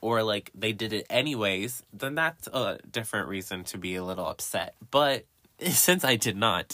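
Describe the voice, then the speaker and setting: A man's animated, bright and sharp voice with an American accent, lively intonation and a moderate pace, in a very clean recording with a silent background. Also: medium pitch for a man. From US South, Johnson City, Tennessee. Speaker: podcast host. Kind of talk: casual chat. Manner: animated, laughing often.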